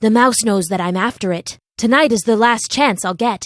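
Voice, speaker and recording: In a put-on character voice, the speaker growls in a very clean recording with a silent background. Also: woman, fairly high pitch for a woman, moderate pace. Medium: read story. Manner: proud, sly.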